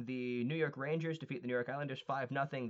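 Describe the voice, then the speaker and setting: A man with an ordinary speaking voice talks at a fairly quick pace, in a medium pitch and with ordinary pitch variation. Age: 20s. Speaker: hockey podcast host. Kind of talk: scores recap; casual chat.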